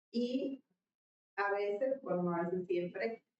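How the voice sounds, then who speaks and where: In a northern Mexican accent, a woman talks with ordinary pitch variation. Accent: northern Mexican, marked. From northern Mexico. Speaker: leadership guest. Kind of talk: interview conversation.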